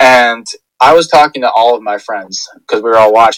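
In an unremarkable speaking voice, a man speaks at medium pitch with fairly even intonation, and the sound is dry and close with no echo. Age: 20s. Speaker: football fan guest. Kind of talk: casual chat.

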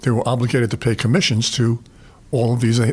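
Somewhat breathy, a man with a New York accent speaks at a medium pitch. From New York, the Bronx. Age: 80s+. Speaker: retired sales executive. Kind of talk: interview, life stories. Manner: halting, with repeated fillers.

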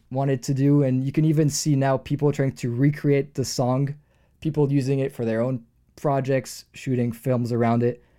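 A man's medium-pitched voice, dark and mellow in tone, with fairly even intonation, in a very clean recording with a silent background. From France. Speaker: music producer. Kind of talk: interview conversation.

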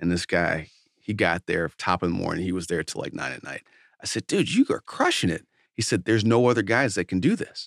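A man with an American accent talks at a fairly quick pace. The recording is very clean, with a silent background. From Detroit, US. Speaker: entrepreneur. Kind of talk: casual interview.

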